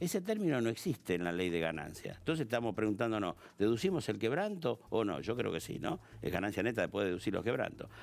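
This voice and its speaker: A man's fairly low voice with vocal fry, very fast with hardly any pauses and very wide pitch swings. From Argentina. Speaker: tax specialist; guest. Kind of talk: TV interview. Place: studio. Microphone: headset.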